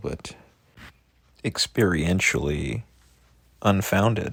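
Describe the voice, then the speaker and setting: A man's very deep, low voice with vocal fry and very wide pitch swings. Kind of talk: reflective monologue. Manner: somber.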